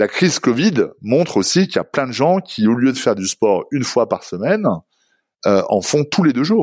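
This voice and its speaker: Pitch swings very widely as this man talks at a fairly slow pace. The recording is very clean, and the background is silent. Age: 40s. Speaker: company executive. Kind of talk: interview. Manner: halting, many repetitions.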